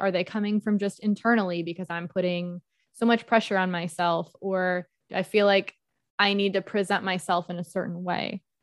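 A medium-pitched female voice at a moderate pace, flat and monotone, dry and close with no echo, over a quiet background. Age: 20s. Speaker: podcast co-host. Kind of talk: casual chat.

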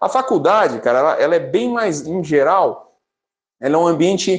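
Moving at a moderate pace, a man talks with a high pitch and very wide pitch swings. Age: 40s. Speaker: finance professional, business graduate. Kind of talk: interview. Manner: casual.

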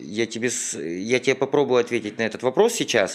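A man talks in a plain, everyday voice. His pace is moderate and his intonation lively. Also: very clean recording, silent background. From Ukraine. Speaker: business owner. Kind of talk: interview.

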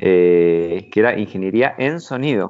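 Here is a man with a very deep, low pitch. His pitch varies in an ordinary way. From Argentina, Buenos Aires province and Mar del Plata. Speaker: entrepreneur. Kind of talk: interview. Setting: remote call.

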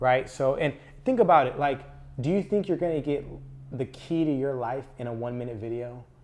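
A man with an American accent speaks at a medium pitch with ordinary pitch variation, in an unremarkable speaking voice. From Southern California (Antelope Valley, LA County). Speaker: marketing agency owner. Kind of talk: casual interview. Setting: co-working space studio.

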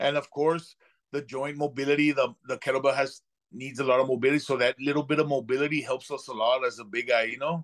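Talking very fast in a flat monotone, a man uses an American accent and a fairly high pitch. The background is quiet. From Texas, Laredo. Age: 40s. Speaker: armed guard. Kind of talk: casual chat.

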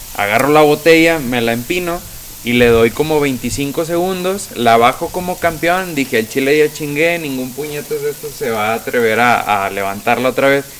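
Noticeable background noise sits behind a man talking at a moderate pace. His pitch is medium, with ordinary variation. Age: 20s. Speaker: sales representative. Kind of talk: casual chat. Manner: casual, slangy.

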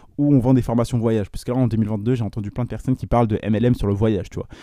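Over a quiet background, a man talks very fast at medium pitch in a dark, mellow tone. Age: 20s. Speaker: entrepreneur podcaster. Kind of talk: solo podcast monologue. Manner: animated.

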